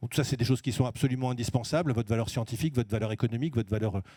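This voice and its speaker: In a very clean recording with a silent background, a man speaks at medium pitch with a dark, mellow tone and fairly even intonation, the sound dry and close with no echo. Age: 60s. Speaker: business executive. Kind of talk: stage talk at award event. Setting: stage with audience.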